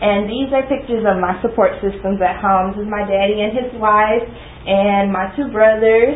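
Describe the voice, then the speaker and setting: In an American accent, a woman speaks at a moderate pace with a fairly high pitch and fairly even intonation. Audible room echo and noticeable background noise surround her. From Texas, Dallas. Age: 20s. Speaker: student. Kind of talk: class presentation.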